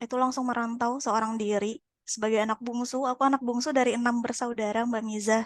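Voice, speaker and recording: A woman with a high voice talks very fast with hardly any pauses and a monotone, flat intonation. Her sound is dry and close, with no echo. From Sumatra, Pekanbaru (Riau). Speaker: podcast guest. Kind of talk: casual chat. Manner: halting, many fillers.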